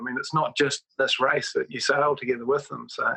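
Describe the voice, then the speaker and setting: A man speaks with a New Zealand accent. His pace is fairly quick. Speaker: professional sailor. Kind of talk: podcast interview answer. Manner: relaxed, conversational.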